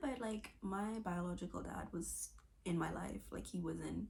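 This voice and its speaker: This is a woman's voice. She is soft-spoken. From Bahamas, Nassau. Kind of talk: testimony.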